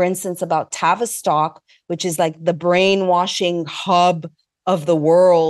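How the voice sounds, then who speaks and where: A woman with a normal speaking voice, fairly low in pitch, at a moderate pace against a quiet background. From Montreal, Canada. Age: 50s. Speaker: investigative journalist and filmmaker. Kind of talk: interview.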